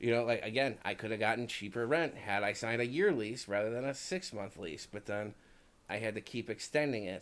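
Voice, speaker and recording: Speaking in a Chicago accent at a fairly quick pace, the voice shows ordinary pitch variation. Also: man. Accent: Chicago accent, can't hide it. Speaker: podcast co-host. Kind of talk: casual chat. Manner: many fillers (um, you know).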